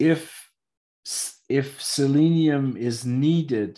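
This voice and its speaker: Lively intonation against a quiet background. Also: man. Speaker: trainer on epigenetic testing device. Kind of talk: lecture via interpreter. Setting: video call. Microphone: video call.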